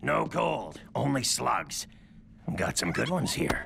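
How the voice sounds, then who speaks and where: A man uses a cartoonish character voice, raspy and very deep in pitch. He talks at a fairly slow pace against clear background noise. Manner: curt, gruff.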